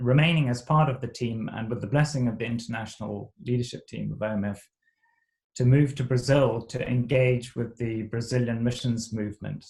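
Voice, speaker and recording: Somewhat breathy male voice at medium pitch, moderate pace and ordinary pitch variation. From Zimbabwe. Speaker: missionary. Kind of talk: interview. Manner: halting.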